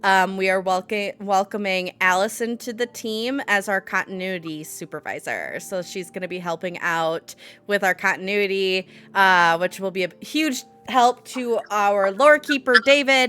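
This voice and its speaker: Music plays in the background as a woman speaks at a fairly slow pace, medium in pitch with ordinary variation. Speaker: show host and game master. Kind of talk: casual chat. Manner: mock news announcer.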